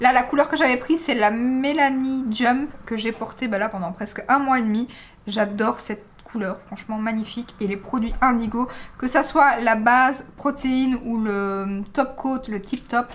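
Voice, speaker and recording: Her high pitch shows ordinary variation. The woman talks at a fairly slow pace. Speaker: beauty vlogger. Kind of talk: casual vlog review. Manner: chatty, many hesitations.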